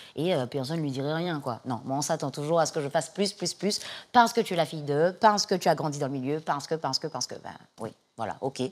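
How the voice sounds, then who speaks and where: Very fast speech with lively intonation comes through in a very clean recording over a silent background. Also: woman, very deep, low pitch for a woman. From Martinique. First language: English (speaking French). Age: young. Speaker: singer-songwriter and actress. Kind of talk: interview. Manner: halting, many fillers and repetitions.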